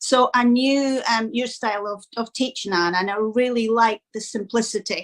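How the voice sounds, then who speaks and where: A woman with a Scottish accent talks at a fairly high pitch, with hardly any pauses. Her intonation stays fairly even. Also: moderate pace. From Scotland. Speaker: dog owner, training course student. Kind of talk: interview testimonial.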